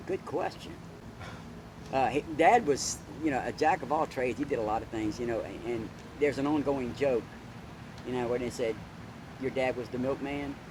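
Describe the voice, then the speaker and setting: A man with an American accent at a medium pitch, fairly even intonation and long, frequent pauses, over noticeable background noise. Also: moderate pace. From US South. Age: 60s. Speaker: retired police officer. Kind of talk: interview.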